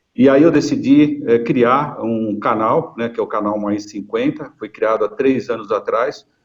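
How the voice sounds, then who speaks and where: With ordinary pitch variation, a man keeps a moderate pace in an ordinary speaking voice. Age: 60s. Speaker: retired marketing executive and video channel creator. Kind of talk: webinar panel talk.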